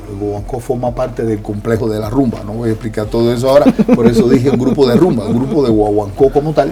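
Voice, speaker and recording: A man with a Cuban accent talks very fast at a medium pitch, his intonation fairly even, over noticeable background noise. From Cuba, rural sugar-mill town. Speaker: musician and author. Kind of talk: interview. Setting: live video stream.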